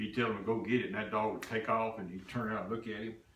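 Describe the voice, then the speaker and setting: A man with a Texan accent talks at a very fast pace and medium pitch, with audible room echo and noticeable background noise. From East Texas. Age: 60s. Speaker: hunting customer. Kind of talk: casual interview.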